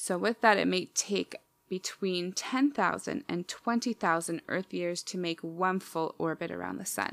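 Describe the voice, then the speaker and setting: A woman's unremarkable speaking voice, medium in pitch, fairly slow, with ordinary pitch variation. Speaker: podcast host. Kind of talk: casual chat. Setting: video call with headphones.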